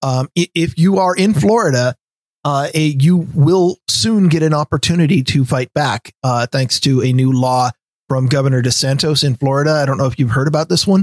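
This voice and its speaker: A plain, everyday voice in an American accent, with ordinary pitch variation and very even loudness. The sound is dry and close, with no echo. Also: man, fairly high pitch for a man, moderate pace. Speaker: podcast host. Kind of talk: casual chat.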